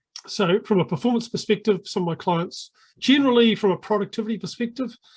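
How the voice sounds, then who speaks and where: A high-pitched man with a New Zealand accent, very fast pace and ordinary pitch variation. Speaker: sales coaching consultant. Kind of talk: podcast interview. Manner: hesitant, many filler words.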